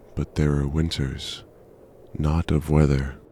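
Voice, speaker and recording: This man's voice sits very deep and low, delivered in a flat monotone. Noticeable background noise runs underneath. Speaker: poet and narrator. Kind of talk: poetry reading. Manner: slow, atmospheric.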